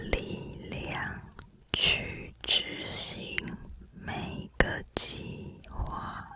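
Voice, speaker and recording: The speech is whispered and very slow. Noticeable noise sits in the background. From Taiwan. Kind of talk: ASMR affirmation whisper to help sleep. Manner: whispered, soft.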